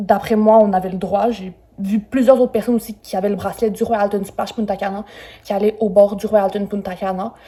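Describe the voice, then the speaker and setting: At a fairly quick pace, a woman speaks in a dark, mellow, somewhat breathy voice of medium pitch with monotone, flat intonation. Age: 20s. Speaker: travel YouTuber. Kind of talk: hotel review vlog. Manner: casual, with many fillers.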